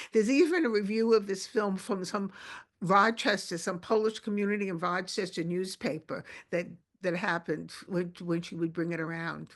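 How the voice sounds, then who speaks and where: A woman with a Brooklyn accent and ordinary pitch variation. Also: medium pitch for a woman, moderate pace. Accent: Brooklyn New York. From Brooklyn, New York. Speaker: documentary filmmaker. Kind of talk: interview conversation. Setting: video call. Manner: halting, many restarts.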